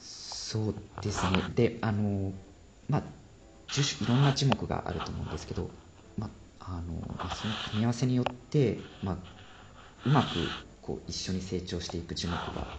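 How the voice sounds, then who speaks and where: A man speaks at a moderate pace with fairly low pitch and ordinary pitch variation. His long, frequent pauses come through noticeable background noise. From Japan, Sendai. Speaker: forest ecology PhD researcher. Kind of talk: interview explaining research.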